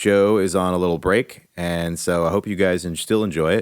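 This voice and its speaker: A man's relaxed tone on a very clean recording with a silent background. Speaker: podcast host. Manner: relaxed, conversational, some hesitations.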